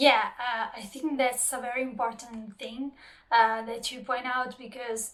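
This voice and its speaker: With a non-native accent, a woman talks fairly slowly in a high, monotone voice, her loudness swinging widely. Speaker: subtitler and translator, channel host. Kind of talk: interview conversation. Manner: hesitant, many fillers.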